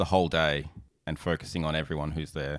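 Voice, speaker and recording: A man with an Australian accent and a very deep, low pitch talks at a fairly quick pace with vocal fry and ordinary pitch variation on a very clean recording with a silent background. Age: 30s. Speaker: podcast host and wedding photographer. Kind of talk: casual interview chat. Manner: halting.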